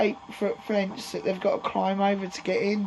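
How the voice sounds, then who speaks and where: A woman speaks at a medium pitch. Background noise is noticeable behind her. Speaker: allotment vlogger. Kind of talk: casual vlog. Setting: outdoors at allotment shed. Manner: hesitant, many ums.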